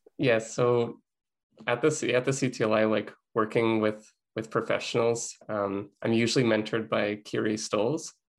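An ordinary speaking voice with a Canadian accent moves at a moderate pace with fairly even intonation over a quiet background. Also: man, medium pitch for a man. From Lethbridge, Alberta, Canada. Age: 20s. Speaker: media student and intern. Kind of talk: podcast interview.

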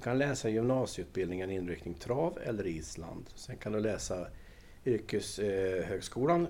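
Speaking at a fairly slow pace, a man with a fairly low pitch and a dark, mellow tone uses lively intonation. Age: 60s. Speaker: equestrian centre director. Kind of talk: interview. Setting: on location at equestrian centre.

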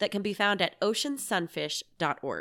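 Here is a woman with a normal speaking voice, medium pitch and a moderate pace. The recording is very clean with a silent background, a dry, close sound with no echo. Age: 40s. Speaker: science podcast host, former teacher. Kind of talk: scripted narration.

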